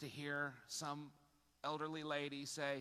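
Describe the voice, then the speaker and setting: Loud speech in a bright, sharp tone. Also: man. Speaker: pastor. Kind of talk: sermon. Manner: halting.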